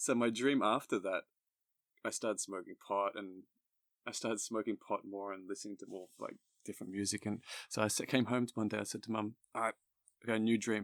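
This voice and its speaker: The speech runs at a fairly quick pace in a monotone, flat intonation, with long, frequent pauses and a dry, close sound with no echo. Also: man, fairly low pitch for a man. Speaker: horror story narrator and English teacher. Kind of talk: casual interview chat.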